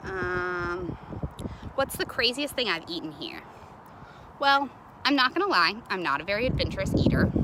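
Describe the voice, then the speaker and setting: Speaking with an American accent at a moderate pace, a woman with a medium pitch makes very wide pitch swings and long, frequent pauses against noticeable background noise. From Kentucky, US South. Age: 20s. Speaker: college student studying abroad. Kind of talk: casual video message answering questions. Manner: casual with many fillers.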